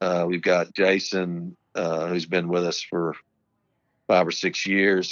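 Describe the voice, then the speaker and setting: A man's very deep, low voice, very slow in pace and monotone with flat intonation. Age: 50s. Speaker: irrigation company co-owner. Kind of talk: casual chat. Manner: halting.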